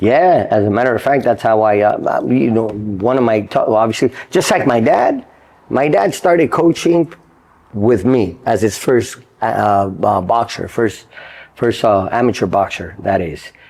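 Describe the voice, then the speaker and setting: A man talks at a moderate pace and medium pitch with lively intonation and very even loudness. Noticeable background noise runs underneath. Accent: American. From Los Angeles area, California. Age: 50s. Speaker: boxing trainer. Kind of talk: interview.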